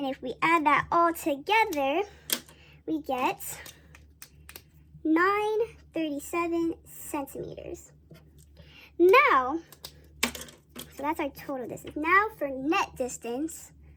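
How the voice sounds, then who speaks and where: The voice is raised and projected, with lively intonation and big swings in loudness. Noticeable background noise sits behind it. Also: woman. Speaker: student presenting math problems. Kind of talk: tutorial. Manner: halting with self-corrections; casual.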